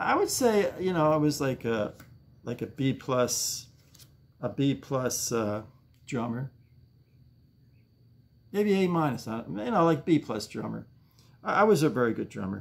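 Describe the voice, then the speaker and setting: Very wide pitch swings at a fairly slow pace, with long, frequent pauses. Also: man. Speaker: home vlogger. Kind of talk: casual vlog chat. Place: home room. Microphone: webcam.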